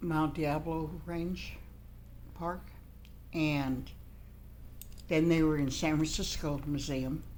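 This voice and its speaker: A woman speaks at a very slow pace, leaving long, frequent pauses. Audible room echo surrounds her voice. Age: 70s. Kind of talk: interview.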